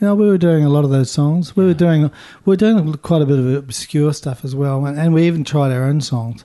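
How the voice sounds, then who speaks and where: Speaking at a fairly quick pace in a Southland accent, a man has a fairly high pitch and a dark, mellow tone. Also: ordinary pitch variation. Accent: New Zealand, Southland rolled R. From New Zealand, Invercargill (Southland). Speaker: rock keyboardist. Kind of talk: interview.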